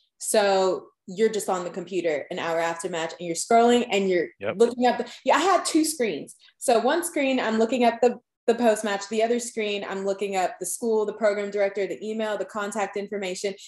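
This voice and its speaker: Lively intonation marks this woman's unremarkable speaking voice. She talks fairly quickly at a medium pitch. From Long Island, New York. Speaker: dental student. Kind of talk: podcast interview.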